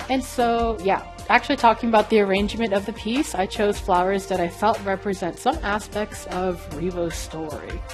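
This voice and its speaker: A woman talks at a moderate pace and medium pitch with hardly any pauses. Her pitch varies in an ordinary way, with music in the background. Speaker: traditional and digital illustrator. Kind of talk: casual art vlog talk.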